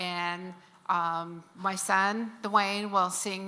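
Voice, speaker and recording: A woman at a medium pitch speaks in a bright, sharp tone, her intonation monotone and flat. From Navajo Nation, US Southwest. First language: Navajo (Diné). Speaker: Native elder leading a land blessing. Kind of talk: ceremonial address.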